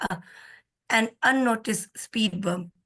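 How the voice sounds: In a put-on character voice, a woman sounds raspy and hoarse at a fairly high pitch. Her pace is fairly slow.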